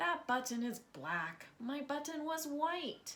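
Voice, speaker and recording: A woman uses a put-on character voice pitched high. She delivers it at a fairly slow pace. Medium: read story.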